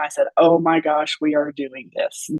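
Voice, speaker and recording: The woman's voice is fairly low in pitch, at a moderate pace. The sound is dry and close, with no echo. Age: 60s. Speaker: former nutrition client sharing health journey. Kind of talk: interview testimony.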